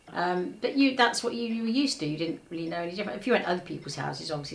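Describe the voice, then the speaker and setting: Over noticeable background noise and audible room echo, a woman speaks at a very fast pace. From England, Buckinghamshire. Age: 80s+. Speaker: village resident. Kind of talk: casual reminiscence.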